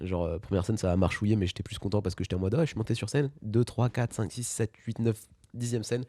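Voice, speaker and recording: In a very clean recording with a silent background, a man speaks very fast at a fairly low pitch, with ordinary pitch variation and a dark, mellow tone. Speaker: podcast host and stand-up comedian. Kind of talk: casual interview chat.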